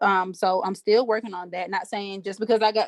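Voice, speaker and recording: In a Southern US accent, a woman speaks at a medium pitch with fairly even intonation. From US South, Alabama. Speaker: aspiring life coach, mentor to young women. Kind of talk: group Q&A video call. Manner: halting, many fillers.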